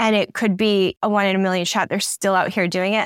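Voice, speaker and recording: A woman with a medium-pitched voice talks very fast in an animated tone. The recording is very clean and dry, close with no echo and a silent background. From Michigan, US Midwest. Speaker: TV producer. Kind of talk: casual interview chat. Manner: animated, laughing often.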